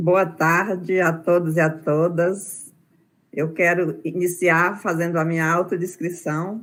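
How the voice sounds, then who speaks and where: Her intonation monotone and flat, a woman speaks at a very slow pace with very even loudness. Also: fairly low pitch for a woman. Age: 70s. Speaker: teacher. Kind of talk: panel talk. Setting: video call. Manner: slow, deliberate for interpreters.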